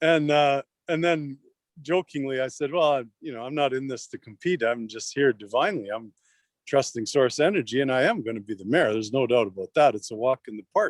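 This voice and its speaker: Someone with a Canadian accent talks at a fairly quick pace in a normal speaking voice, with lively intonation and big swings in loudness. The sound is dry and close with no echo, on a very clean recording with a silent background. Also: man, medium pitch for a man. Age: 60s. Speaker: mayoral candidate. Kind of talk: casual interview storytelling.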